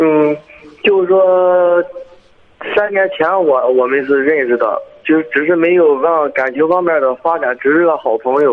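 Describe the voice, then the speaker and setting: Amid noticeable background noise, a man with a fairly high pitch talks at a fairly slow pace, with ordinary pitch variation and very even loudness. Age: 20s. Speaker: caller. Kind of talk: phone-in personal story.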